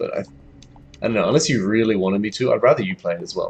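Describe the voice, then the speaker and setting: With music playing in the background, the speaker rushes along at a very fast pace in an Australian accent. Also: man. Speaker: game streamer. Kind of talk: live gameplay commentary. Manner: animated.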